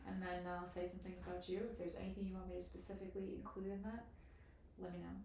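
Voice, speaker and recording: A woman talks at a very fast pace. Audible room echo and noticeable background noise fill the recording. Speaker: podcast host. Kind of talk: podcast interview introduction.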